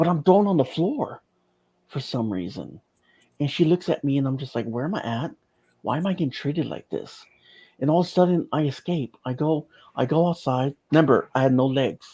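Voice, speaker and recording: A man's somewhat breathy voice, fairly high in pitch with ordinary pitch variation, moves at a fairly quick pace in a dark, mellow tone, with a dry, close sound with no echo on a very clean recording with a silent background. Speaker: near-death experience survivor. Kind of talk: testimony. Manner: halting.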